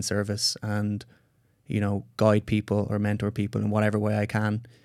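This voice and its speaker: A man with an Irish accent speaks at a moderate pace and a fairly low pitch. The recording is very clean, with a silent background. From Ireland. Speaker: psychedelic retreat facilitator and scientist. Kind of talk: interview conversation.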